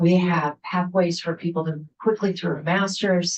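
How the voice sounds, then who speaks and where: Somewhat breathy woman, fairly low-pitched, at a moderate pace with fairly even intonation. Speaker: university president. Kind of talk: legislative testimony presentation. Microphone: weak Wi-Fi connection.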